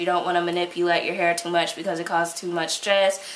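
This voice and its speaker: Noticeable background noise and audible room echo around a woman speaking. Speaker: beauty vlogger. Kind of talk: Q&A vlog.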